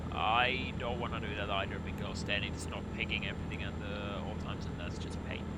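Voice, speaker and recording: A man talks at a fairly quick pace with hardly any pauses. Noticeable background noise and audible room echo surround his voice. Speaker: streamer. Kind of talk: casual chat. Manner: usually quiet, sometimes very loud; halting, repeats words.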